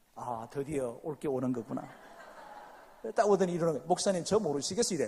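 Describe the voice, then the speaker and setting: The man's pitch leaps across very wide highs and lows. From South Gyeongsang, Korea. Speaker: pastor. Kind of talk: sermon. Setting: church. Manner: animated.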